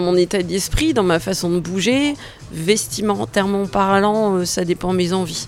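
A woman with a medium pitch talks at a very slow pace, her pitch varying in an ordinary way. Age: 40s. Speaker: dance teacher and burlesque performer. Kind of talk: interview. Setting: hotel lounge. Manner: hesitant, many fillers.

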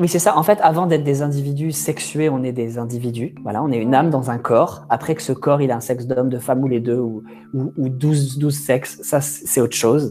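A man at a medium pitch and fairly quick pace, with hardly any pauses, ordinary pitch variation, and music in the background. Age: 20s. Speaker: video creator and podcast host. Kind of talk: casual conversation. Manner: hesitant, many fillers.

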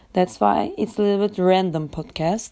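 This woman has a dark, mellow tone on a very clean recording with a silent background. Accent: Turkish. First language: Turkish. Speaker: podcaster. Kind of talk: casual monologue. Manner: halting.

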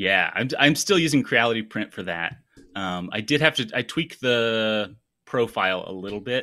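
In a bright, sharp tone, a man talks at a moderate pace. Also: medium pitch for a man, lively intonation. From Tennessee. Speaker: YouTube creator and electrical engineer. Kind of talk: casual interview.

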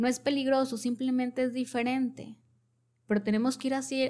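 A warm tone in monotone, flat intonation at a moderate pace. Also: woman. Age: 30s. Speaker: podcast host, wellness/therapy speaker. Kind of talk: solo podcast monologue, motivational advice. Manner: warm, conversational.

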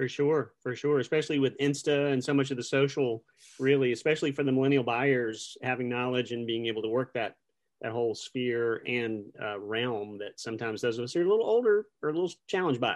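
With an upbeat tone, a man of medium pitch talks very fast using ordinary pitch variation. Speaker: real estate podcast host. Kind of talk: casual interview chat. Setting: video call. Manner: upbeat, friendly.

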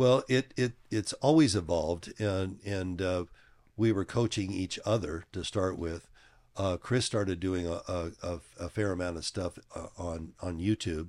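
A man speaks with a very deep, low pitch and ordinary pitch variation at a fairly slow pace. The recording is very clean, with a silent background. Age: 70s. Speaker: fitness equipment company executive and powerlifter. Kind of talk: casual interview. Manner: hesitant, many filler words.

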